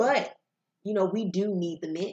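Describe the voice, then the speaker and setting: This is a woman with a medium pitch. The background is quiet. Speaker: podcast guest, cousin of host. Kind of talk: casual conversation podcast discussion. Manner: dominant, authoritative speaker.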